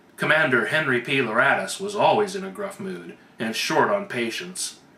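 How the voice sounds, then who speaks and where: A man speaks at a moderate pace with very wide pitch swings. Noticeable background noise runs behind him. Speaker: author. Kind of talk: read story.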